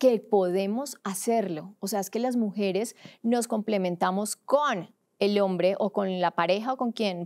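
A woman's fairly slow speech, with ordinary pitch variation, sits over a quiet background. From Colombia, Cúcuta (border region); Colombia. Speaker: sports journalist; sports journalist guest. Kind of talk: podcast interview. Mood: engaged, passionate. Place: studio. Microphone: studio mic.

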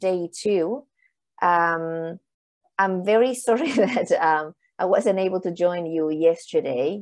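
A woman's very slow speech with lively intonation over a quiet background. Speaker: panel moderator. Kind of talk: conference moderation intro. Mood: friendly, slightly apologetic, laughing. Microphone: earbuds.

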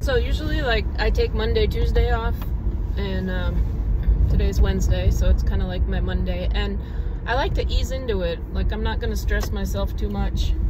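A woman talks at a moderate pace. Loud background noise is present, and the sound is dry with no echo. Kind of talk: casual vlog chat. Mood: relaxed, easygoing. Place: car. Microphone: phone near.

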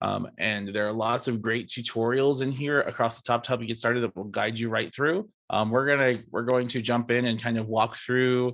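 A man speaks at a moderate pace with hardly any pauses. His intonation is fairly even, and the background is quiet. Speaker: workshop instructor. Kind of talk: tutorial. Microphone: video call.

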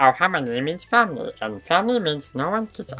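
Using a put-on character voice, the speaker talks at a fairly quick pace with a middle pitch. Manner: playful, imitation admitted to be poor.

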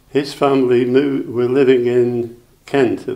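Spoken with a Staffordshire accent, the words come at a very slow pace in a monotone, flat intonation. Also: man. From Rugeley, Staffordshire, England. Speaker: wartime childhood witness. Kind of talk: oral history interview answer.

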